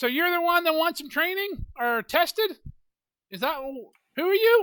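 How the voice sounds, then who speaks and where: This put-on character voice has an extremely high pitch and moves at a moderate pace. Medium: actual play. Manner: absent-minded, mishearing.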